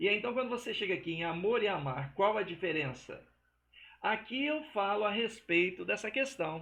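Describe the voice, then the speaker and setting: In a raised, projected voice, a man with a high pitch and a bright, sharp tone speaks at a moderate pace with lively intonation. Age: 60s. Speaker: religious teacher. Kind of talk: religious teaching monologue. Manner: casual, conversational.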